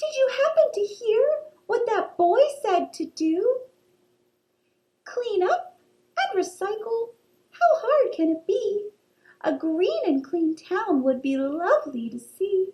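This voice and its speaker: A woman's put-on character voice, squeaky and extremely high-pitched, with very wide pitch swings, a fairly slow pace and long, frequent pauses. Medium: read story. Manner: exclamatory, chatty.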